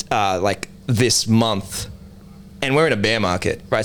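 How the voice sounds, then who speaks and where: With an Australian accent, a man of medium pitch speaks at a moderate pace with ordinary pitch variation. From Australia, Sydney southwest (Liverpool). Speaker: NFT project co-founder. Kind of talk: casual interview chat.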